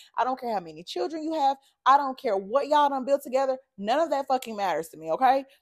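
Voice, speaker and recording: A woman with a high voice speaks very fast in an animated tone, her pitch swinging very widely and her loudness rising and falling sharply on a very clean recording with a silent background. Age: 30s. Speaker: podcast host. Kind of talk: casual monologue.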